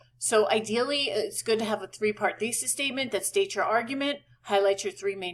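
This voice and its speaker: A woman talks at a fairly quick pace in a fairly high pitch with ordinary pitch variation. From New York. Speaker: college writing instructor. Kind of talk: lecture. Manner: casual.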